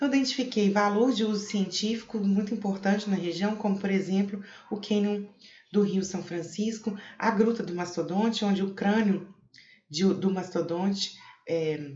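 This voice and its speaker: A woman at a medium pitch talks at a moderate pace with fairly even intonation, and room echo is audible. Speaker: cave researcher, geographer. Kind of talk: conference talk. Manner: hesitant, many fillers.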